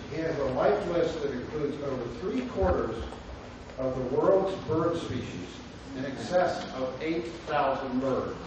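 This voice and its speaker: Through strong room echo and noticeable background noise, a man with a fairly high pitch speaks at a fairly slow pace with lively intonation. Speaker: professor hosting a lecture series. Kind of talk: speaker introduction. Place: hall.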